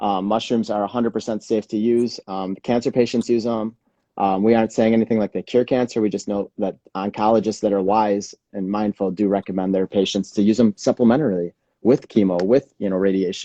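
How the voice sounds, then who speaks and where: Dark, mellow tone with fairly even intonation comes through in a dry, close sound with no echo. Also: man, fairly low pitch for a man. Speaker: wellness show host. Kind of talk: casual live stream chat. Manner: louder to speak over alarm.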